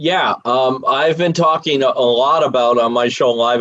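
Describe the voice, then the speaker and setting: This man has a plain, everyday voice at a medium pitch, with an American accent and ordinary pitch variation. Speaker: presidential candidate, comedian. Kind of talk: political debate.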